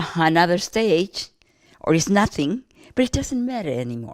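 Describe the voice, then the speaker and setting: A woman's fairly low voice with very wide pitch swings. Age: 80s+. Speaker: elderly woman interviewee. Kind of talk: personal reflection interview. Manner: halting, with repeated false starts.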